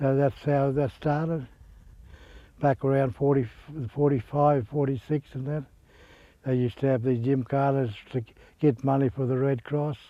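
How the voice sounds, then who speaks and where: This man has a rural Australian accent and a fairly high pitch. His intonation stays monotone and flat. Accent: broad rural Australian. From Queensland, Australia. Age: 70s. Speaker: retired cattleman and horseman. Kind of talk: oral history storytelling. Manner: halting, repeats words.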